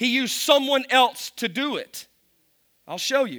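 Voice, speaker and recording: With a Kentucky accent, a man speaks in an animated, raised and projected voice at an extremely high pitch. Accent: Kentucky Southern US, noticeable. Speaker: pastor. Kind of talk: sermon. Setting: church with audience. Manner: humorous, self-deprecating, animated.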